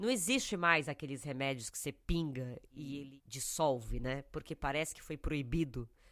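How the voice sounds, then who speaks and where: A woman with a very deep, low pitch speaks at a moderate pace with hardly any pauses, ordinary pitch variation and big swings in loudness on a very clean recording with a silent background. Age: 40s. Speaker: podcast co-host. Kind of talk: casual chat. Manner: sniffling.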